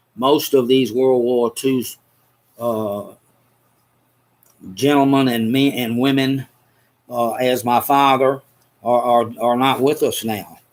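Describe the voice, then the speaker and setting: Speaking very slowly with long, frequent pauses, a man with a medium-pitched voice talks in a Southern US accent. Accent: Southern US (Georgia). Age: 70s. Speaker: podcast host. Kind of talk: casual chat. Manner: animated.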